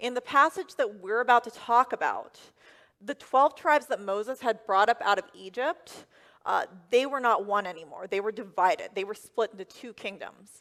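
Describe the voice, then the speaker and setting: A woman with a plain, everyday voice and an American accent speaks at a moderate pace and fairly high pitch, her intonation lively. Her loudness swings a lot, and the sound is dry and close with no echo. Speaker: first-time preacher delivering a sermon. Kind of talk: church sermon.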